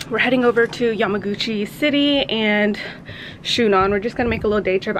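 Loud background noise fills the recording. A woman speaks through it with ordinary pitch variation. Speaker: family vlogger. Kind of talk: casual vlog chat. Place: home room. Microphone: phone near.

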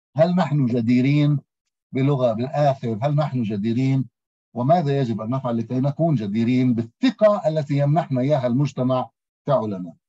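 A man talks at a moderate pace against a quiet background, his pitch varying in an ordinary way. His tone is dark and mellow, and somewhat breathy. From Palestine. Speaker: philosophy professor. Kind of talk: seminar presentation. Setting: video call. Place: home room. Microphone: video call.

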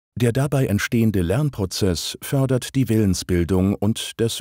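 Fairly low in pitch, a man talks with very wide pitch swings and a dark, mellow tone. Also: very clean recording, silent background. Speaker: narrator of a training video. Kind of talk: scripted narration. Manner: formal.

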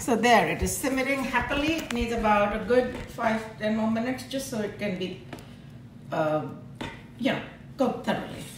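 With a fairly high pitch and lively intonation, a woman speaks at a moderate pace with long, frequent pauses. Audible room echo and noticeable background noise fill the recording. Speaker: home cook demonstrating recipe. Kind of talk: cooking tutorial. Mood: warm, relaxed. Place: kitchen.

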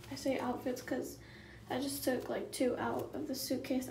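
A woman speaks with a high pitch. Audible room echo and light background noise surround her voice. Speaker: vlogger. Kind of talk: casual vlog chat. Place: bathroom. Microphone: phone near.

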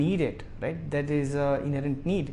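Light background noise sits under speech delivered at a moderate pace with fairly even intonation. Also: man. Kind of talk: interview answer. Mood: friendly, smiling. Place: office. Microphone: lapel.

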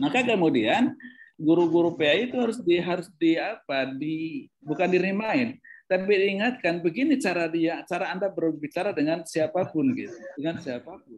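A man talks at a moderate pace with lively intonation and a high pitch. Light background noise sits behind him. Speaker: professor. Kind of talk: keynote talk. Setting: video call. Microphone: video call.

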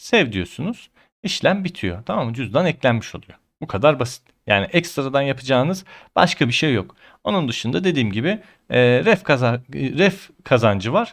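A man talks at a moderate pace and medium pitch, with very wide pitch swings. The recording is very clean with a silent background. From Ankara, Turkey. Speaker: crypto YouTuber. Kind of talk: tutorial.

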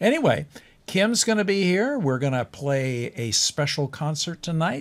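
His pitch jumps up and down very widely. The voice is a man's. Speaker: talk show host. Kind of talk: casual TV host chat. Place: studio. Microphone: studio mic.

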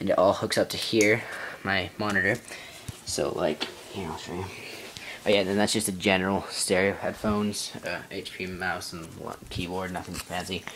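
Noticeable background noise runs under the speech. The pace is moderate, with long, frequent pauses. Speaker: gaming YouTuber. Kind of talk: casual vlog tutorial. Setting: home bedroom. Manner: casual, filler-heavy.

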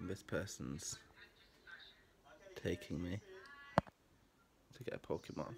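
A man's fairly low-pitched voice with vocal fry, at a fairly slow pace. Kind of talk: casual talk to camera.

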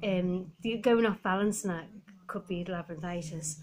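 A woman talks at a moderate pace with a somewhat breathy voice and fairly even intonation. Light background noise can be heard. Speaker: vlogger. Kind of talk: casual vlog chat. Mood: relaxed, a little weary. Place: home room. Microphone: phone near.

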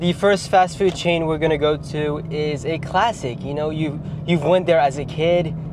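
A man's voice has a dry sound with no echo, with noticeable background noise behind it. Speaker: YouTuber; food reviewer. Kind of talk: casual comedic vlog with humor and swearing; casual vlog chat. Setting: fast food restaurants, ordering at counter. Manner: animated, joking, casual. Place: car. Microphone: lapel.

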